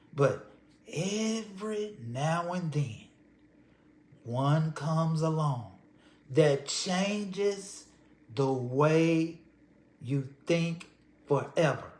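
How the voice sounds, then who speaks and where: With an American accent, a man talks at a very slow pace with long, frequent pauses, lively intonation and a fairly high pitch, in audible room echo. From Texas, Houston. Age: 60s. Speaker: storyteller. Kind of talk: personal storytelling. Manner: conversational.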